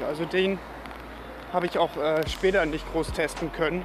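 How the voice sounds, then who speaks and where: Noticeable background noise surrounds a man with a high voice. He talks at a moderate pace in a fairly even intonation. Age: 30s. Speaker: podcast host. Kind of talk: casual solo podcast monologue.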